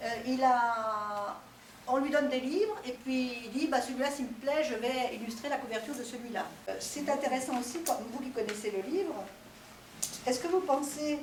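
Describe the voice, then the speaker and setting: A woman's high-pitched voice with ordinary pitch variation, audible room echo and noticeable background noise. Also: moderate pace. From France (born in Italy, arrived at four). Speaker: author visiting a school class. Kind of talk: talk to pupils with questions and answers. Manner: hesitant, many fillers.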